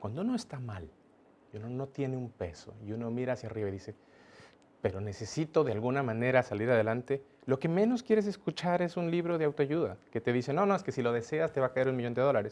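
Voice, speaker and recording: This man speaks at a very fast pace. His intonation is lively. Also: medium pitch for a man. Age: young. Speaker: business executive. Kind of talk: interview.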